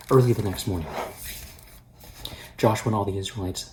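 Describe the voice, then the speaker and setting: Soft-spoken and somewhat breathy, a man talks at a fairly low pitch with fairly even intonation. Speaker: pastor. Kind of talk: daily devotional with scripture reading. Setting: at home.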